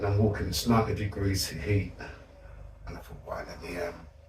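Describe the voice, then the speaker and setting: A man talks at a fairly quick pace, with big swings in loudness. Audible room echo and noticeable background noise are present. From South London. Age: 60s. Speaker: community activist. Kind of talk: interview storytelling.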